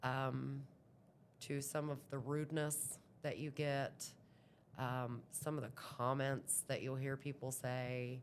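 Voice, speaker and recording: With an American accent, a woman speaks in a very deep, low voice at a very slow pace, her intonation monotone and flat, broken by long, frequent pauses. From southeastern Ohio. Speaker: amputee interviewee. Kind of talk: interview. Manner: loud.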